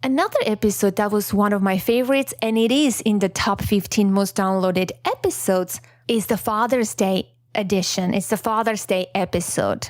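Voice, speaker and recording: A woman speaks at a moderate pace with a non-native accent. Her medium-pitched voice shows ordinary pitch variation. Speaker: podcast host. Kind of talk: solo podcast reflection. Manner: casual, chatty.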